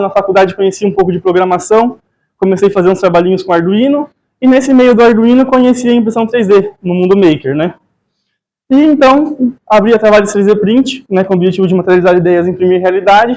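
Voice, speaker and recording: A very fast, high-pitched male voice with ordinary pitch variation. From Brazil, São Paulo city. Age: 20s. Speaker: 3D printing entrepreneur and speaker. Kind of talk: talk at a live event. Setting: stage with audience.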